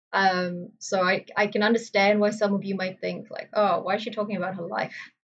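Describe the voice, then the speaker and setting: Somewhat breathy, a woman talks at a fairly quick pace. Her intonation is monotone and flat. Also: medium pitch for a woman. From Malaysia, Sri Lankan family. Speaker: gaming streamer. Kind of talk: casual chat. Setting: live stream. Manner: hesitant, with fillers.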